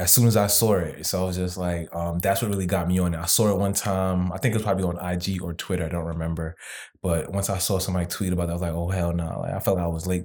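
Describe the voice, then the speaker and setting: At a very fast pace, a man speaks in a very deep, low pitch with monotone, flat intonation, in a very clean recording with a silent background. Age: 30s. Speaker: crypto investor. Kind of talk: casual chat.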